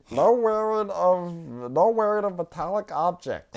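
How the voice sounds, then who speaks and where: A put-on character voice at a middle pitch speaks very slowly over a quiet background. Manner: officious.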